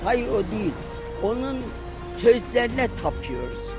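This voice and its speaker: Clear music plays behind a woman speaking at a very slow pace. Her voice sounds dry, with no echo. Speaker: Sumerologist. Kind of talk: interview answer. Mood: earnest, saddened, passionate. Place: open country.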